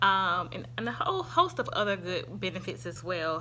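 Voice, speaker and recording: In a strong Southern US accent, a woman talks at a fairly quick pace. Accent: thick Southern. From US South. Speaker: YouTuber reviewing products. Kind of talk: product review vlog. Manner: casual, hesitant with fillers.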